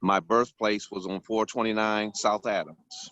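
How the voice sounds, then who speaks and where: The speaker has a plain, everyday voice with an American accent. The pace is moderate. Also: man. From Ypsilanti, Michigan, US Midwest. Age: 60s. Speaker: public commenter. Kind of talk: public comment at council meeting.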